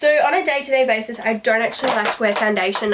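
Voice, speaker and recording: A woman's fairly high voice, showing ordinary pitch variation, comes through noticeable background noise. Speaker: beauty vlogger. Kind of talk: casual chat.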